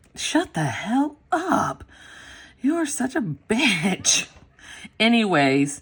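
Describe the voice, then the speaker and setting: Very slow American-accented speech with vocal fry, very wide pitch swings and long, frequent pauses, on a very clean recording with a silent background. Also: woman, fairly high pitch for a woman. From US South. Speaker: planner vlogger. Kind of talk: casual chat. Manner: animated.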